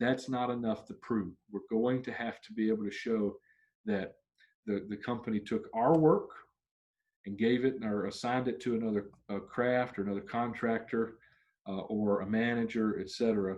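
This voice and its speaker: The background is quiet. A man talks at medium pitch with fairly even intonation. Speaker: union trainer. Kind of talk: training session. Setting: virtual video recording. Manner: fast.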